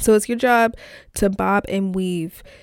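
An animated woman at medium pitch, on a very clean recording with a silent background. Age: 20s. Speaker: solo podcaster. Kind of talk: casual monologue.

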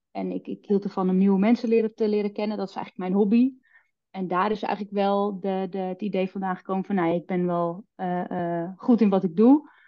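A woman talks at a fairly quick pace with an ordinary speaking voice and fairly even intonation. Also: medium pitch for a woman. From West-Friesland, Noord-Holland. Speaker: sales trainer and entrepreneur. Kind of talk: podcast interview.

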